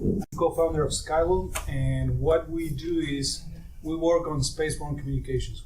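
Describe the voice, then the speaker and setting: A man with an Argentine accent at a moderate pace, amid noticeable background noise and audible room echo. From Argentina. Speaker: startup co-founder, satellite engineer. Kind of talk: startup pitch.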